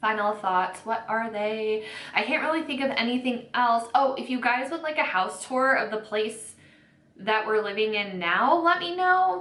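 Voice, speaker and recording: A speaker with an American accent uses lively intonation, with noticeable background noise and audible room echo. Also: woman, fairly high pitch for a woman. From US Midwest, northeastern Ohio. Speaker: beauty YouTuber. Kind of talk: casual chat while doing makeup. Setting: at home. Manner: fast.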